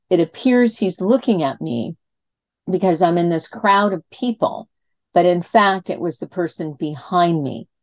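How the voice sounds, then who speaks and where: A woman's fairly low voice with lively intonation at a fairly slow pace, dry and close with no echo, over a quiet background. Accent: Californian. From California. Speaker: communication coach. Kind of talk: interview.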